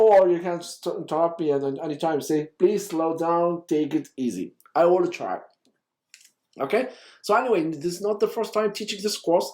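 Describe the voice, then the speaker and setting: Ordinary pitch variation marks this man's high voice. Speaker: university lecturer. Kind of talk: lecture. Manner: fast when excited; animated.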